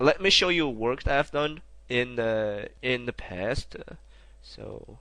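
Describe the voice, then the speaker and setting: A man with a non-native accent at a very slow pace. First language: not English. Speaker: game modder. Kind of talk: software tutorial narration. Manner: hesitant, casual.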